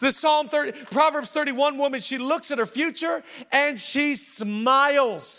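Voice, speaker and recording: A man with an extremely high pitch speaks at a moderate pace, his voice raised and projected. His pitch varies in an ordinary way, and there is noticeable background noise. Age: 40s. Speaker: pastor. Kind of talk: sermon. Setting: church. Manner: animated.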